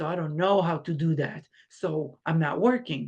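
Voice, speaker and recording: A woman with a non-native accent speaks in a fairly low pitch. Her pace is moderate and her pitch variation ordinary. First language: not English. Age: 40s. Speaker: makeup artist and life coach. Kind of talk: interview.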